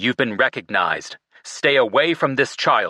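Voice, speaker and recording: Shouting in a gruff, put-on character voice, a man delivers his lines at a moderate pace and medium pitch. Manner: yelling, warning.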